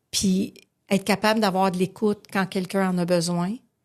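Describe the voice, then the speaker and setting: A woman with a Quebec accent against a quiet background. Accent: Québécois French. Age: 50s. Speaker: recovering alcoholic sharing story. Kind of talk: testimony. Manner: animated.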